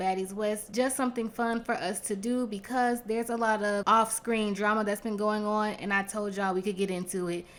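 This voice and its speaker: A woman speaks with a fairly high pitch. The recording is very clean, with a silent background. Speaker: YouTube reality TV reviewer. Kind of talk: casual commentary review. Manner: calmer, lower energy than usual.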